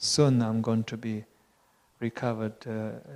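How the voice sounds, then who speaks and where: A man with a Tibetan accent and a medium-pitched voice. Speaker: Buddhist teacher. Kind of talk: conversation. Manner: halting.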